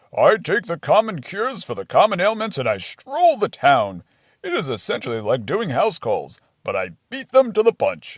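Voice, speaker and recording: A man puts on a cartoonish character voice, pitched high. The recording is very clean, with a silent background. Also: moderate pace. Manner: matter-of-fact, jolly.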